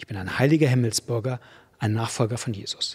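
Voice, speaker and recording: Against a quiet background, a man speaks in a warm tone that is somewhat breathy. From Germany. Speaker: preacher. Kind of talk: sermon. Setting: church. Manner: warm, direct, conversational address; emphatic, repetitive for effect. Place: church. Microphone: studio mic.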